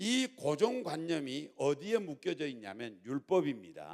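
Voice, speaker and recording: Vocal fry runs through a man's fairly high voice. His pitch swings very widely. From Jeolla, South Korea. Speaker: pastor. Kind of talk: sermon. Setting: church.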